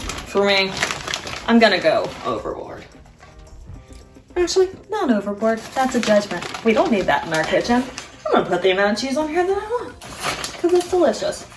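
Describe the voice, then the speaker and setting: A woman with a high voice swings her pitch very widely at a moderate pace, with music playing behind her and noticeable echo in the room. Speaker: home cook video host. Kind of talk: cooking tutorial. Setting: home kitchen. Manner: casual, chatty.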